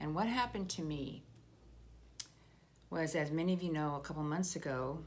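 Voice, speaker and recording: A woman at a moderate pace with audible room echo. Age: 60s. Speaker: political video blogger. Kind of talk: personal commentary monologue.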